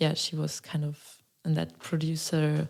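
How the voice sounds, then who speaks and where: A woman speaks with a German accent in a very deep, low pitch and a dark, mellow tone. Her intonation is monotone and flat, on a very clean recording with a silent background. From Germany, Berlin and Mecklenburg-Western Pomerania. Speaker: singer-songwriter. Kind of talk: interview.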